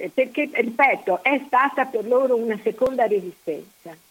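Pitched high, a woman speaks at a fairly slow pace with ordinary pitch variation. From Mestre, Veneto (Venice area). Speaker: historical researcher. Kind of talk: interview, historical narration. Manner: halting, many fillers.

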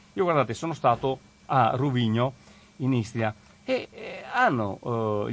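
Medium in pitch, a man speaks with lively intonation. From Veneto, province of Treviso. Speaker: regional councillor, radio guest presenter. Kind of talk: radio talk and call-in discussion. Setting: radio studio. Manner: hesitant, many fillers.

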